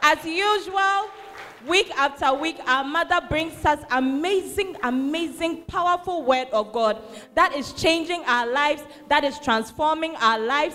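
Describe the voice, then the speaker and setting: A woman speaks at a fairly slow pace in a high pitch. Her voice is raised and projected. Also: lively intonation. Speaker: church emcee reading testimonies. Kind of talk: enthusiastic announcing.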